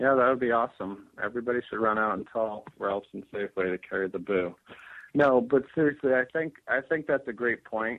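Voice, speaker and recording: A man's normal speaking voice, medium in pitch, at a fairly quick pace. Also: ordinary pitch variation. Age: 30s. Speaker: kombucha company founder. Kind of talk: interview.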